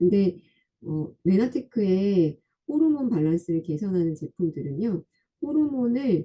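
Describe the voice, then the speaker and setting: A woman speaks fairly slowly at a medium pitch in a somewhat breathy voice. Her pitch swings very widely. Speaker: health product presenter explaining body scan results. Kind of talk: online lecture. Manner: halting with filler sounds. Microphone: too quiet for listeners.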